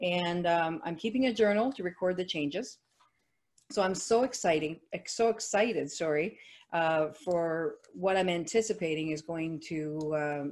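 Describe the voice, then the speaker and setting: In a Quebec accent, a woman speaks at a moderate pace. Her pitch is fairly low, and her intonation is lively. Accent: Canadian French. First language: French. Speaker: network marketing associate. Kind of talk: testimony at a company webinar.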